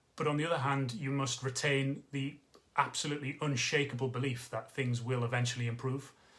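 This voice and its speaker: Fairly quick speech from a man, the intonation fairly even. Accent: Geordie. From northeast England (Newcastle area). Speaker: travel industry consultant. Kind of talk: direct-to-camera business update. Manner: casual, conversational with filler words.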